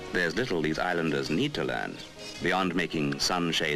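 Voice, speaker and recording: Music plays behind the voice. The speaker is a man. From British. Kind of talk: documentary narration. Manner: patronizing.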